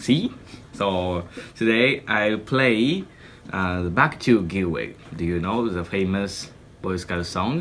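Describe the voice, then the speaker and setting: Very slowly and with long, frequent pauses, a man with a Japanese accent speaks at a fairly low pitch with ordinary pitch variation. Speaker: scout musician. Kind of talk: video performance intro. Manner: halting.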